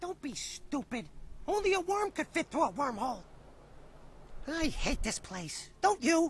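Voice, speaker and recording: A put-on character voice speaks at a high pitch and moderate pace in a nervous, whiny tone. Long, frequent pauses break it up against clear background noise. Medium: video game.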